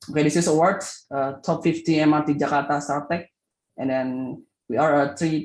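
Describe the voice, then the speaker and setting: A man with an Indonesian accent, fairly high-pitched, monotone and flat in intonation, at a moderate pace. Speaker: startup founder. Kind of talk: pitch presentation. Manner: halting.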